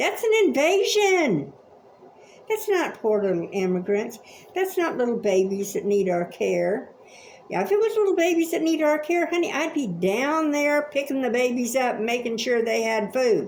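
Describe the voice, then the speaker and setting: With an American accent, a woman speaks in a high, animated voice with very wide pitch swings, very even loudness and a moderate pace, over noticeable background noise and audible room echo. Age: 70s. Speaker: vlogger. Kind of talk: opinion rant.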